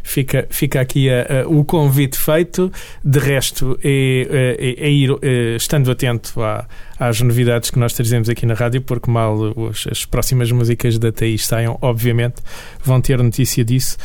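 There is noticeable background noise as a man speaks at a moderate pace and medium pitch. His loudness stays very even and his intonation fairly even. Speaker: radio host. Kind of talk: radio interview.

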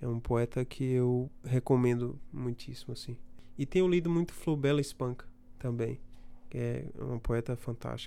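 The man talks at a moderate pace in a dark, mellow tone. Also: medium pitch for a man, fairly even intonation. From Brazil, Bahia (Feira de Santana). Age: 30s. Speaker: poet. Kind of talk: interview.

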